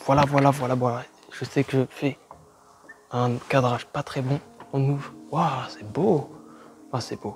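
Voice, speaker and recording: A man speaks at a fairly slow pace and medium pitch with ordinary pitch variation, long, frequent pauses, and music in the background. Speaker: urban explorer vlogger. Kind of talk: exploration vlog commentary; scripted narration.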